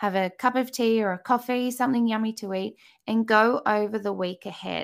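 A woman's fairly high voice with an Australian accent, ordinary pitch variation and a moderate pace. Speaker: motherhood coach and podcaster. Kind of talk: casual interview chat. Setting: video call.

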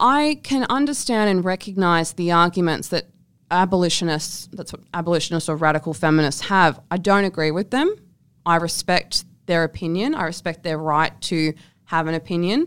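A woman speaks at a moderate pace with an Australian accent, her pitch fairly low with ordinary variation. The recording is very clean, with a silent background. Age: 20s. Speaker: sex worker and writer. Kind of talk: interview.

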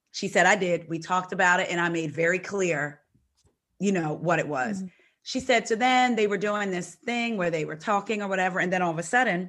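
Against a quiet background, a woman talks fairly quickly in an ordinary speaking voice, at a medium pitch with ordinary pitch variation. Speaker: podcast co-host guest. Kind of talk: casual chat.

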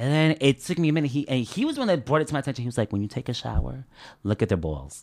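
An American-accented man talks at a very fast pace with lively intonation and a medium pitch. The recording is very clean with a silent background. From New Jersey (Elizabeth), Uruguayan parents. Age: 30s. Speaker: LGBTQ guest sharing life story. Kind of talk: casual interview chat.

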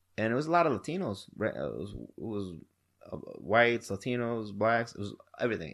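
Here is a man with an American accent and a plain, everyday voice, speaking at a fairly quick pace. His pitch is medium, his intonation lively, and the background quiet. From Wisconsin. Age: 30s. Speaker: podcast host. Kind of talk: casual chat.

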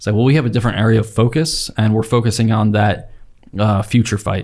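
A man with an American accent speaks fairly quickly at medium pitch, somewhat breathy and in a monotone, flat intonation. The recording is very clean with a silent background. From Utah, Salt Lake Valley. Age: 30s. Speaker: active duty special operations weatherman. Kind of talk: casual interview.

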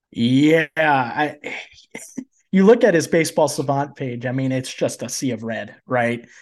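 Over a quiet background, a man speaks at a fairly slow pace with ordinary pitch variation. His pitch is fairly high, and he has an unremarkable speaking voice. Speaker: fantasy baseball analyst, student. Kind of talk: casual chat.

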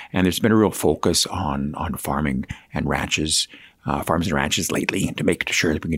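A man with a Canadian Prairie accent speaks in a very deep, low pitch. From Saskatchewan, Canada. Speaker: provincial agriculture minister.

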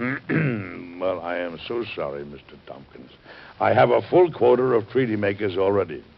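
A man's put-on character voice, fairly low, at a moderate pace, with lively intonation, vocal fry and a slightly husky edge

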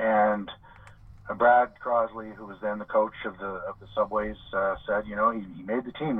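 With a Canadian accent, a man speaks at a moderate pace. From Montreal, Quebec. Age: 50s. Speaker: hockey journalist. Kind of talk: casual interview. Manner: halting, many fillers.

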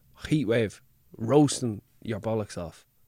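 Speaking at a fairly slow pace with an Irish accent, a man with a fairly low pitch and ordinary pitch variation sounds dry and close, with no echo. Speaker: actor and comedian. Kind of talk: casual chat.

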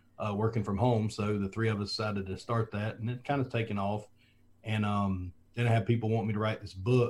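Somewhat breathy and in a Southern US accent, the speaker talks at a fairly quick pace in a flat monotone. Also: man, fairly low pitch for a man. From US South (South Alabama). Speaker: former football coach, school administrator. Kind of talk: interview. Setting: video call.

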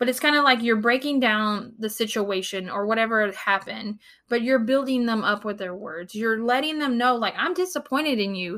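A woman talks in a fairly high, bright, sharp voice with an animated tone, ordinary pitch variation and hardly any pauses. The recording is very clean, with a silent background. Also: moderate pace. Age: 30s. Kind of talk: devotional talk.

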